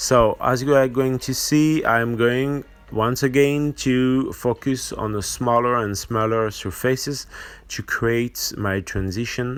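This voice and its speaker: A French accent at a very slow pace. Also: man. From France. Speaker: miniature painting tutor. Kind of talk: tutorial. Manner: halting, many fillers.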